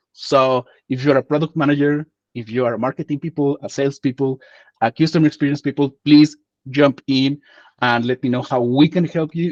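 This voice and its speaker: Speaking in a Spanish accent, a man uses a fairly high pitch and fairly even intonation at a moderate pace. His sound is dry and close, without echo. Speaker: community host, interviewer. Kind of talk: panel interview.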